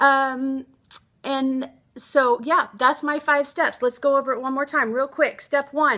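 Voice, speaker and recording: The voice is raised and projected, with a bright, sharp tone. It moves at a fairly slow pace in a monotone, flat intonation. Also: woman, high pitch for a woman. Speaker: productivity coach. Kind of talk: live stream talk. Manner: halting.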